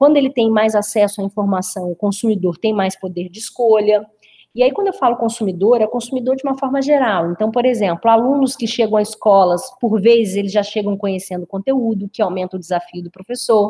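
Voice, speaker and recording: Her voice is fairly high-pitched, somewhat breathy, and dark and mellow in tone. The woman speaks with hardly any pauses. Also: ordinary pitch variation. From Brazil, interior of the state (Rio de Janeiro/Minas border area). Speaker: business consultant. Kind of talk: webinar presentation.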